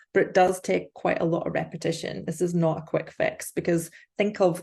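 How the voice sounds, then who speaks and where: A woman with a fairly low, somewhat breathy voice and a dark, mellow tone talks fairly quickly in a monotone, flat intonation. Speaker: life coach. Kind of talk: live online workshop. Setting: livestream. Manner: fast.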